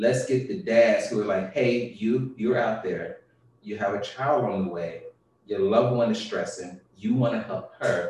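Room echo is audible here. A man speaks at a fairly slow pace. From US South. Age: 30s. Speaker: father and business owner. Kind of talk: interview.

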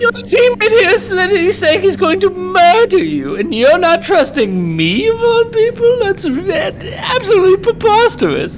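Delivered in a put-on character voice at a moderate pace with hardly any pauses, the speech sits over clear background noise. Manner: evasive, teasing.

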